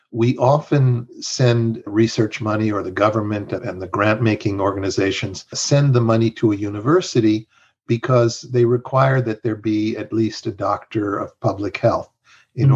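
This man's voice sits at a medium pitch and is somewhat breathy, with ordinary pitch variation. The background is quiet. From Mexico. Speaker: health strategy consultant. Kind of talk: interview conversation.

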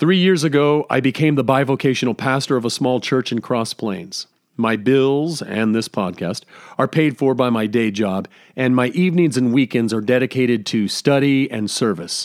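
A man talks at a moderate pace in an ordinary speaking voice, pitched at a medium level. His pitch varies in an ordinary way, and the recording is very clean with a silent background. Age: 50s. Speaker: podcast host and pastor. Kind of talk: solo scripted podcast monologue.

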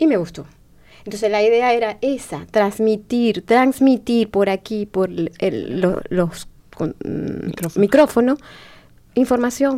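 A woman with a fairly high pitch and a dark, mellow tone speaks at a fairly slow pace. Her pitch varies in an ordinary way, and she leaves long, frequent pauses. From Venezuela. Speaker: community radio host. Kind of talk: casual chat. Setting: studio.

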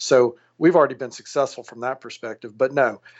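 Fairly even in intonation, a man speaks in a normal speaking voice with an American accent. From Louisiana, US South. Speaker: plastic surgeon and company founder. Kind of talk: podcast interview.

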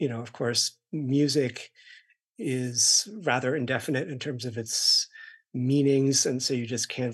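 With fairly even intonation and a medium pitch, a man talks in a normal speaking voice. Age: 50s. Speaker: music critic. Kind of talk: onstage conversation. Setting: stage with audience.

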